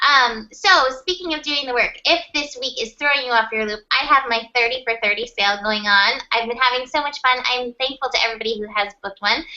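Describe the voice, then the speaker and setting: A woman speaks in a high voice at a fairly quick pace with hardly any pauses, over noticeable background noise. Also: ordinary pitch variation. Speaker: tarot and astrology reader. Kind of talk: casual chat. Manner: fast.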